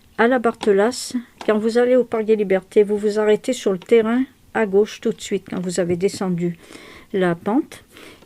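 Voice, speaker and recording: A woman's dark, mellow tone at a fairly high pitch, moderate pace and fairly even intonation. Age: 70s. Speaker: fortune teller. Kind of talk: interview answer.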